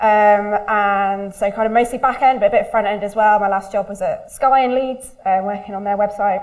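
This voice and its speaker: Audible room echo surrounds the voice. Its pitch variation is ordinary. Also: woman. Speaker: user researcher. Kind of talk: conference talk. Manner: fast.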